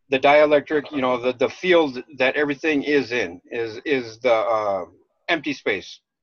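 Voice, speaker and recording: Speaking at a medium pitch, a man shows an ordinary amount of pitch variation. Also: moderate pace. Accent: American. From Minnesota, US Upper Midwest. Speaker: livestream co-host. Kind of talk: casual chat.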